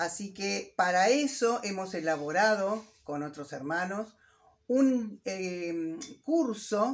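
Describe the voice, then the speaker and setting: Her intonation rises and falls in a lively way as the woman talks. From Argentina, Los Toldos, Buenos Aires province; Buenos Aires province, Argentina. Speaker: Mapuche language teacher. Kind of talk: personal introduction. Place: home room. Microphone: phone near.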